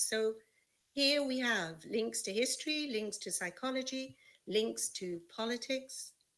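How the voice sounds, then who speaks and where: A woman with an unremarkable speaking voice, a fairly high pitch, lively intonation and a fairly slow pace. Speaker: teacher trainer. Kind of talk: webinar lecture. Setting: online webinar.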